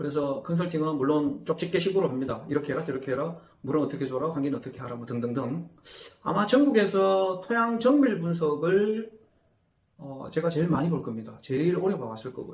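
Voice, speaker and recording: A man with a fairly high-pitched voice talks at a fairly quick clip, his intonation lively and his loudness swinging widely. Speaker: agricultural consultant. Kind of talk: interview. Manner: hesitant fillers.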